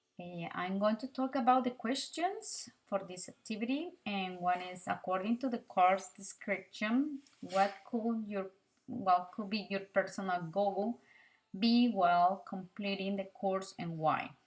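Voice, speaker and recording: A woman's somewhat breathy voice at a fairly slow pace, with big swings in loudness. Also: medium pitch for a woman, ordinary pitch variation. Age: 30s. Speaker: language student. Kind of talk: self-introduction for an online course. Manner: halting, many fillers.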